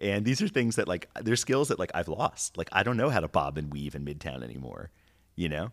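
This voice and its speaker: In a very clean, dry, close recording with no echo and a silent background, a man with an American accent and a very deep, low pitch talks at a fairly quick pace with vocal fry and very wide pitch swings. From New York City. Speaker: watch entrepreneur. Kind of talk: casual chat. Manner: hesitant, many fillers.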